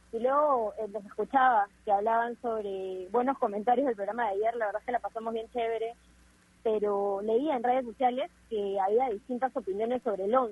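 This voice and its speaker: At a moderate pace, a woman speaks in an ordinary speaking voice, fairly high in pitch with fairly even intonation. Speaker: sports radio co-host. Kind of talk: casual chat.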